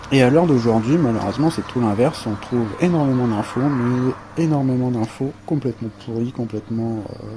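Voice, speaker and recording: Against noticeable background noise, a man talks at medium pitch and a moderate pace with ordinary pitch variation. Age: 30s. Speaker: coaching client. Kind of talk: testimony. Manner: hesitant, many fillers.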